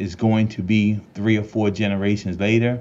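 A man talks at a moderate pace with a fairly low pitch. He has a normal speaking voice. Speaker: podcast co-host. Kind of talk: interview.

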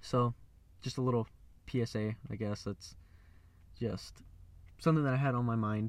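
Moderately paced speech from a man, medium in pitch, fairly even in intonation, broken by long, frequent pauses. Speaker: podcaster. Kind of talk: angry car rant, preachy warning about chaos and elites. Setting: in a car, recording alone. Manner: angry, ranting, worked up and accusatory; blunt, swearing.

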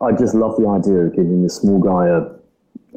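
This man talks at a fairly slow pace. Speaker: startup CEO. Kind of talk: casual interview.

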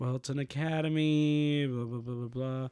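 A man is talking. He uses ordinary pitch variation. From Puerto Rico, raised partly in Florida. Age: 20s. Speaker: comedian. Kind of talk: casual chat.

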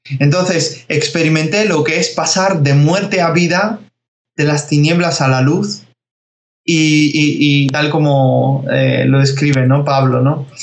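A somewhat breathy man's voice at a very slow pace, with fairly even intonation, very even loudness and audible room echo. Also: fairly high pitch for a man. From Spain (from age 11), born in Georgia. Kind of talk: interview.

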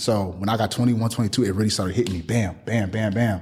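Talking at a very fast pace, a man with a fairly low pitch sounds somewhat breathy and shows ordinary pitch variation. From Milwaukee, Wisconsin, US Midwest. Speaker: clothing brand owner and business coach. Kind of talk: casual interview.

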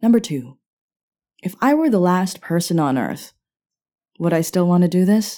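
Long, frequent pauses break up a woman's speech at a moderate pace, her fairly low pitch carrying a dark, mellow tone and lively intonation. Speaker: podcast host. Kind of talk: personal monologue. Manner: reflective, confessional.

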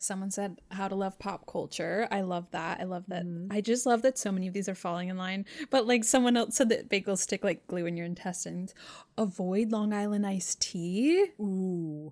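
On a very clean recording with a silent background, the speaker goes at a moderate pace with ordinary pitch variation. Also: woman, medium pitch for a woman. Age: 30s. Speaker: podcast co-host. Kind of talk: casual chat. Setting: studio.

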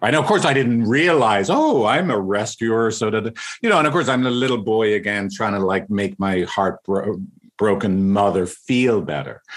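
With lively intonation, a man speaks in an Irish accent. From Ireland. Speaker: couples counselor. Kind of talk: casual interview.

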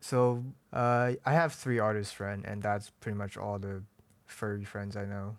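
A man with a mainland Chinese accent speaks at a fairly slow pace. The recording is very clean, with a silent background. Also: fairly even intonation. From mainland China. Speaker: furry artist. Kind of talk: interview. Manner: hesitant.

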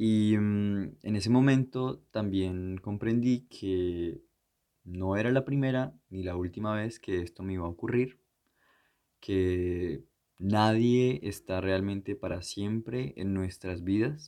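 Very slowly and with ordinary pitch variation, a man speaks in a fairly low pitch with a dark, mellow tone against a quiet background. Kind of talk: reading aloud poetry, then reflective interview. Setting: remote recording from abroad.

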